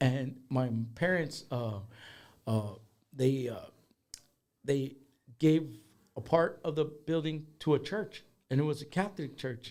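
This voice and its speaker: Long, frequent pauses break up a man's fairly slow speech in an American accent. His fairly high voice shows ordinary pitch variation. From Minnesota. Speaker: musician. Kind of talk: casual chat. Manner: halting.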